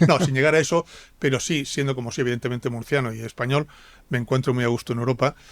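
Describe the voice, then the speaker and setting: Speaking very fast at a medium pitch, a man keeps a fairly even intonation on a very clean recording with a silent background. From Spain, Murcia and Castile (Palencia). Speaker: politician and diplomat. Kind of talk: interview. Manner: hesitant with repetitions.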